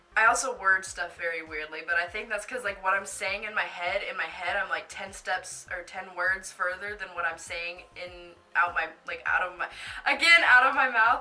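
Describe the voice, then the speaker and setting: A woman speaks at a moderate pace in a medium pitch, her tone animated and her pitch varying in an ordinary way. Her loudness swings widely, with noticeable background noise behind her. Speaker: YouTuber reacting to her old video. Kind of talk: casual reaction commentary.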